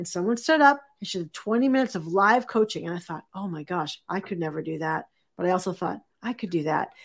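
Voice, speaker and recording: A woman talks at a fairly quick pace in an ordinary speaking voice. Her pitch is medium and her intonation lively. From Boston, US. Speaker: executive coach and author. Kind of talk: interview conversation. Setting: video call.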